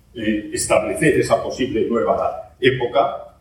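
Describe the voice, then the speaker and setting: Audible room echo surrounds a man's voice. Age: 70s. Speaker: geology professor. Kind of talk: lecture.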